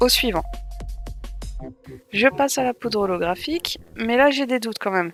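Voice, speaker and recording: A woman speaks at a moderate pace with ordinary pitch variation. Music plays in the background. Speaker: nail art tutorial creator. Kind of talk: tutorial voice-over.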